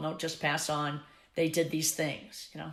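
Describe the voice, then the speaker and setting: A woman with a very deep, low pitch, a bright, sharp tone and vocal fry, at a fairly quick pace. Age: 70s. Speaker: swing dance teacher. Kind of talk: interview.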